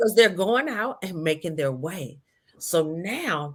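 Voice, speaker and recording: Here a woman speaks at a very slow pace. Her pitch is fairly low, and her intonation is lively. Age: 60s. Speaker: retired nurse and connection coach. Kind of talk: interview.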